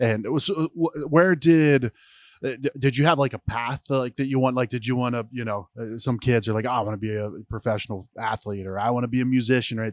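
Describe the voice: At a fairly quick pace, a man talks with medium pitch and fairly even intonation.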